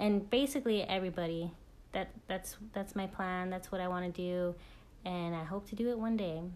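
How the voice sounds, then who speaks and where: A woman speaks at a moderate pace. Her pitch is medium, with ordinary variation. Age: 20s. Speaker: army officer. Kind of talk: interview. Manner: somewhat scripted, formal.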